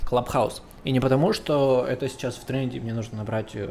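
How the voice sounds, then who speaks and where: This man speaks at a medium pitch. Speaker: solo podcaster. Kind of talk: casual monologue. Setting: home recording setup. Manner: rambling with fillers.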